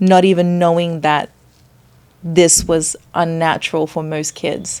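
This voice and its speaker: A woman speaks with an Australian accent in a fairly low pitch. Her intonation is monotone and flat. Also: fairly slow pace. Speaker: chef and nutritionist. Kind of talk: podcast interview.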